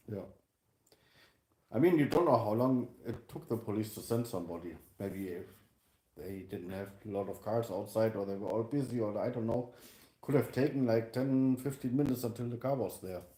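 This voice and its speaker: Speaking with a German accent at a moderate pace, a man uses a medium pitch, ordinary pitch variation and a dark, mellow tone, leaving long, frequent pauses. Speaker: vlogger's partner. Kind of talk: casual livestream chat.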